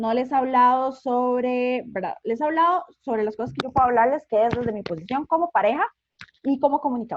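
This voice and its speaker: With a Costa Rican accent, a woman speaks in a high voice. Her pitch variation is ordinary. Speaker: communicator and invited speaker. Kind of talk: online conference talk. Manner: fast; animated.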